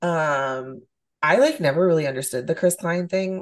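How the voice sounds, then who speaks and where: Her voice is very deep and low for a woman, with ordinary pitch variation. She speaks at a moderate pace. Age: 30s. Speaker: podcast co-host. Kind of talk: casual chat.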